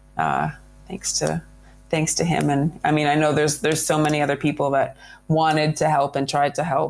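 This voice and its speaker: With music in the background, a woman speaks at a moderate pace and very even loudness. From Canada. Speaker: adventurer. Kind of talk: interview. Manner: halting.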